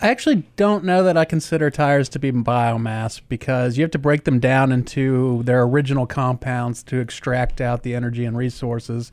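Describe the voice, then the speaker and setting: A medium-pitched man with an American accent at a fairly quick pace, with ordinary pitch variation. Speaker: county sustainability director. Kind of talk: casual chat. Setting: studio.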